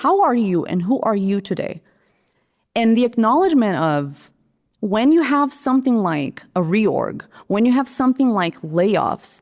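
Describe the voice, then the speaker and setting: On a very clean recording with a silent background, a woman with a Brazilian Portuguese accent speaks at a fairly slow pace. Her pitch is fairly high with very wide swings, while her loudness stays very even. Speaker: creative director, design leader. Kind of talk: podcast interview. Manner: animated.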